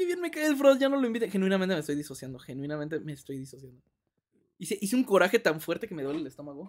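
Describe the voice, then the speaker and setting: An animated man with a Mexican accent, high-pitched and very fast, with very wide pitch swings and big swings in loudness. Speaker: gaming streamer. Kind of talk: live gameplay stream chat.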